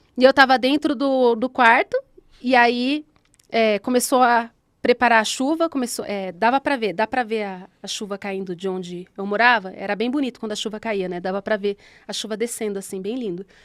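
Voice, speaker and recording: Recorded with a dry, close sound and no echo, a woman speaks at a fairly high pitch and a moderate pace. Her pitch varies in an ordinary way, while her loudness swings widely. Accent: São Paulo interior. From Brazil, São Paulo state interior (Guararema). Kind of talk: personal testimony in casual podcast chat.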